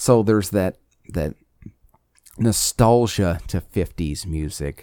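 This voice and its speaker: The man's voice has a dark, mellow tone and ordinary pitch variation at a very slow pace. The sound is dry and close, with no echo. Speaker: podcast host. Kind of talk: solo monologue podcast. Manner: talkative.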